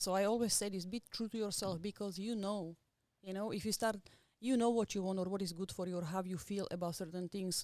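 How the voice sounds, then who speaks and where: With a Slovak accent, a woman with a dark, mellow tone speaks at a fairly quick pace with fairly even intonation. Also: medium pitch for a woman. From Slovakia, small village. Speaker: tattoo artist. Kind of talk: podcast interview.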